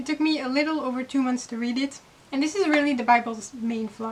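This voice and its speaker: Over noticeable background noise, a woman with a non-native accent speaks in a high voice with ordinary pitch variation. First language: not English. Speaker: YouTuber, book reviewer. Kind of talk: casual commentary review. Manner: animated.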